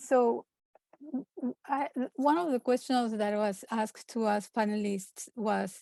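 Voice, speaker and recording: With a non-native accent, a woman speaks at a fairly slow pace in a fairly high pitch and a dark, mellow tone, the sound dry and close with no echo. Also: ordinary pitch variation. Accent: foreign. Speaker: clinical social worker. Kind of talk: conference panel talk. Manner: quiet when anxious.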